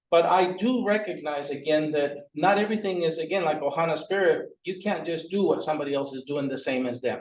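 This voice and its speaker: Amid audible room echo, a man speaks at a fairly quick pace and fairly high pitch, with ordinary pitch variation. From Peru. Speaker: workforce board executive director. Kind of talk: presentation. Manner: energetic.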